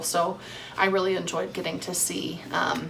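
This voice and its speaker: Noticeable background noise and audible room echo surround a woman's voice. She speaks at a fairly low pitch in a slight Southern US accent. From US South. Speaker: cross-stitch vlogger. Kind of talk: casual vlog chat. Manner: casual with many fillers.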